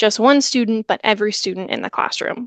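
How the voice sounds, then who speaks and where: Her voice is an unremarkable speaking voice, and the woman talks at a fairly quick pace with ordinary pitch variation in a dry, close sound with no echo. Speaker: education trainer presenting a webinar. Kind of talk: webinar presentation.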